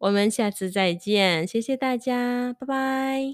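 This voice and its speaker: On a very clean recording with a silent background and a dry, close sound with no echo, a woman speaks with a non-native accent. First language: not Chinese (speaking Chinese). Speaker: Chinese language teacher and podcast host. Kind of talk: casual solo monologue. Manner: halting, many fillers.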